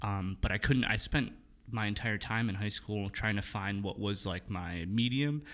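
A man with an unremarkable speaking voice talks at a moderate pace with a fairly low pitch, ordinary pitch variation and an American accent, in a very clean recording with a silent background. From Milwaukee, Wisconsin, US. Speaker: photographer and director. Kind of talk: casual chat.

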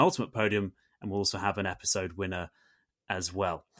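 Here is a man with a normal speaking voice, fairly low in pitch. He talks at a fairly quick pace, the sound dry and close with no echo. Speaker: podcast host. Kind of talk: casual chat. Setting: video call.

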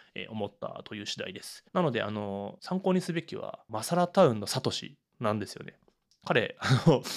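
At a moderate pace and in a relaxed tone, a man speaks at a medium pitch, with very wide pitch swings and big swings in loudness. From Urayasu, Chiba, Japan. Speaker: podcast host. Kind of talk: solo monologue podcast.

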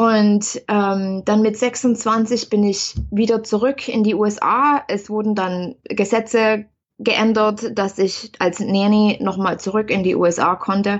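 A woman speaking very slowly in a monotone, flat intonation, with hardly any pauses. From East Germany. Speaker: spiritual coach and author. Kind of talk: interview. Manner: halting, frequent fillers.

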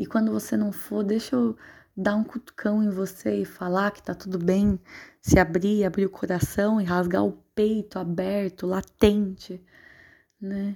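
Silence surrounds a woman's dark, mellow voice in a very clean recording. Her pitch is medium and her intonation fairly even. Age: 20s. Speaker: podcast host. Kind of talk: personal monologue.

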